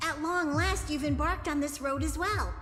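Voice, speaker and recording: The speaker uses a put-on character voice at a moderate pace. Background noise is clearly audible. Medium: game stream. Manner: calls itself in third person.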